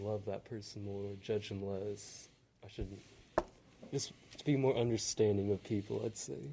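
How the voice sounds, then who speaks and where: This man's voice is fairly low, somewhat breathy, and dark and mellow in tone, with fairly even intonation at a moderate pace. His loudness swings a lot, and he leaves long, frequent pauses. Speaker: podcast host. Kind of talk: casual interview. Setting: library. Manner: quiet.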